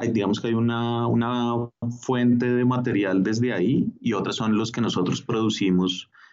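A man with a Bogotá accent at a fairly slow pace, very even in loudness and fairly even in intonation. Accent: Bogotá Colombian Spanish. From Bogotá, Colombia. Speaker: street artist and stencil educator. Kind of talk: interview.

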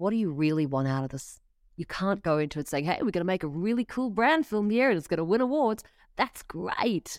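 A woman speaks fairly quickly at a medium pitch, with very wide pitch swings. The recording is very clean, and the background is silent. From South Africa. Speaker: content manager at an insurance company, former radio journalist. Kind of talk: interview.

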